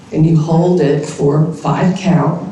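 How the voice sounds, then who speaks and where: A woman's very deep, low voice at a very slow pace, with audible room echo and noticeable background noise. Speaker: university speaking center director. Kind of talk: opening remarks and guided breathing exercise.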